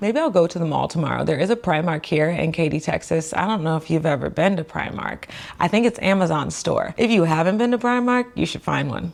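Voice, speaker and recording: A woman at a fairly quick pace with hardly any pauses, amid noticeable background noise. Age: 20s. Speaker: physical therapist and finance vlogger. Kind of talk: casual vlog talk to camera. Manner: fast.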